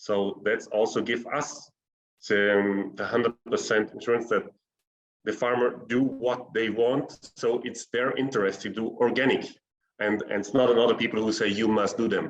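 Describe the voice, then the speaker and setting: A man with a German accent, medium pitch, monotone and flat intonation, and a moderate pace. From South Tyrol, northern Italy. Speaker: organic fruit cooperative representative. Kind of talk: webinar panel answer. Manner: halting.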